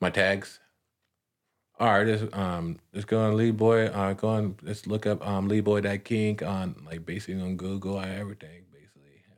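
With an American accent and a normal speaking voice, a man talks at a moderate pace and fairly low pitch, his intonation fairly even but his loudness swinging widely, in a very clean recording with a silent background. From California. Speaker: rapper. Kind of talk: casual interview.

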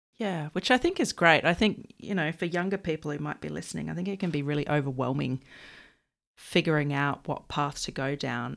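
This woman has an Australian accent. She speaks at a fairly quick pace. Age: 30s. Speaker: podcast host. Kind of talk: interview; scripted outro. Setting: video call.

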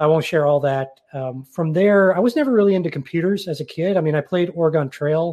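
A man with an American accent speaks in a normal speaking voice, fairly high-pitched for a man, with ordinary pitch variation and a fairly quick pace. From northern US. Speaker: podcast and TV host, cybersecurity professional. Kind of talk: casual interview chat.

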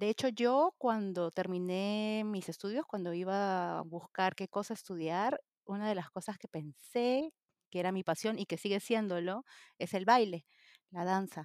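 On a very clean recording with a silent background and a dry, close sound with no echo, a woman uses a normal speaking voice at a medium pitch, speaking at a fairly slow pace with lively intonation. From Peru. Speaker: interpreter. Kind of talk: casual chat.

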